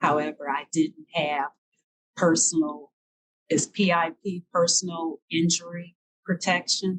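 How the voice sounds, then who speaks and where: In an ordinary speaking voice, a woman talks at a fairly slow pace and fairly low pitch, with ordinary pitch variation and a dry, close sound with no echo. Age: 60s. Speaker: marathon walker. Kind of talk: interview answer.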